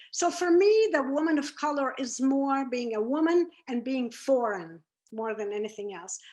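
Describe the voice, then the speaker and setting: Speaking with a Lebanese accent, a woman has a high pitch and very wide pitch swings. She moves at a moderate pace. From Lebanon, Beirut. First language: Arabic. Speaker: former FBI unit chief, speaker. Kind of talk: presentation talk.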